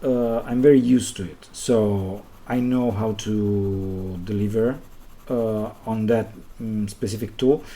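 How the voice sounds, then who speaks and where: Speaking very slowly in an Italian accent, a man uses a fairly low pitch and fairly even intonation. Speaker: illustrator and designer. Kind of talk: live stream commentary while drawing. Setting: live stream. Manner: halting, with many pauses.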